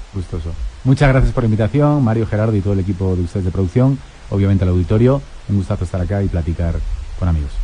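Through noticeable background noise, a man talks very fast with lively intonation at a fairly low pitch. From Spain, Madrid. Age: 40s. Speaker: historian and newspaper editor. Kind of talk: radio interview.

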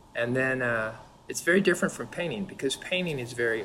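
A man with a plain, everyday voice and an American accent talks at a medium pitch with lively intonation. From California, US. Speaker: painter. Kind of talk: casual chat.

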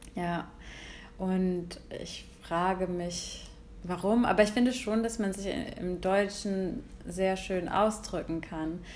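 In a room with audible echo, a woman speaks at a very slow pace with long, frequent pauses. Her medium-pitched voice has a fairly even intonation. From Germany, Hesse. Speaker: podcast co-host. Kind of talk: casual chat.

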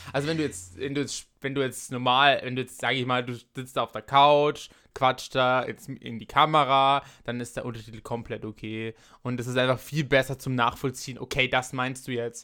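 A man talks at a moderate pace, his medium-pitched voice flat and monotone. The recording is very clean, with a silent background. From Austria. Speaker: podcast host. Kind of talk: casual chat.

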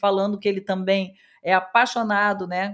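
A woman speaks in a southern Brazilian accent. Her voice sits at a medium pitch. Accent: gaúcho accent, still present. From Rio Grande do Sul, southern Brazil. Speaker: radio host. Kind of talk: casual radio chat.

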